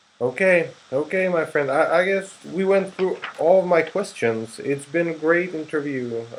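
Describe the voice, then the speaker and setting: There is noticeable background noise as a man with a high pitch talks at a moderate pace. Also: ordinary pitch variation. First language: Czech. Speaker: interviewer and translator. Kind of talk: interview.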